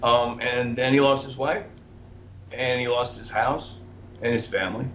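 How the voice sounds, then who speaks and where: A somewhat breathy voice comes through with audible room echo. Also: man. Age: 60s. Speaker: investigative journalist. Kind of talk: interview. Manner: halting.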